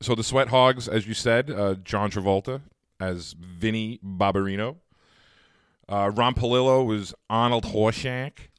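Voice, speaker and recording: This man has an ordinary speaking voice, medium pitch and an American accent, with fairly even intonation at a fairly slow pace. The recording is very clean, with a silent background. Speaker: podcast host. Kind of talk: casual chat.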